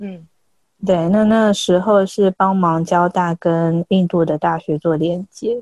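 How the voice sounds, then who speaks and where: A woman's fairly low voice at a very slow pace, with fairly even intonation and a dry, close sound free of echo. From Taiwan, outside Taipei. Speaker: freelance language tutor. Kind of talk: casual interview chat.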